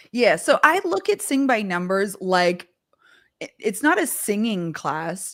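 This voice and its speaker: Very wide pitch swings mark this voice with a Canadian accent, recorded very cleanly against a silent background. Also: woman. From Canada. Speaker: vocal coach and live show host. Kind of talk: live stream interview chat. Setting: live stream.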